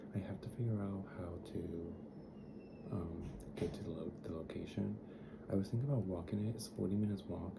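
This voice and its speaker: Soft-spoken and gentle in tone, a man with a very deep, low pitch talks at a fairly quick pace amid noticeable background noise and audible room echo. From Dominican Republic. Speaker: travel vlogger. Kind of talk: casual vlog. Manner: soft, gentle; chatty, rambling with fillers.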